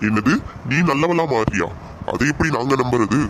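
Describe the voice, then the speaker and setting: Over clear background noise, a man performs a cartoonish character voice at medium pitch and a moderate pace. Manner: mocking, menacing.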